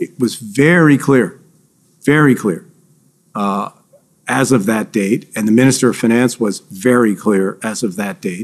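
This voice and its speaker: His pace is fairly slow. The man's pitch shows ordinary variation. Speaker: government finance official witness. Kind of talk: witness testimony under questioning. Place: hall.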